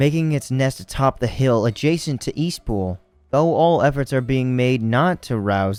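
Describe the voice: A plain reading-aloud delivery with lively intonation.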